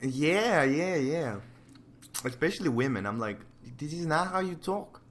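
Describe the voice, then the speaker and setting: Audible room echo surrounds a man speaking at a fairly slow pace with very wide pitch swings. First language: not English. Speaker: digital painter. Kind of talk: casual chat. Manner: casual, hesitant.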